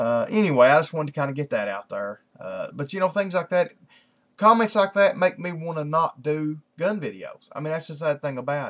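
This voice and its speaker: A man talks fast, at a fairly quick pace, in a strong Southern US accent. His pitch is high, his intonation lively, and his loudness swings widely. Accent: strong rural Southern US. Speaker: video blogger. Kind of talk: casual vlog monologue. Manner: halting, many fillers and restarts.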